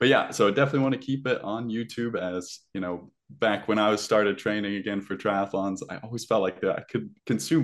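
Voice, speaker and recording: Against a quiet background, a man with a fairly low voice talks at a fairly quick pace. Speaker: podcast guest, triathlon YouTube show host. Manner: casual, conversational.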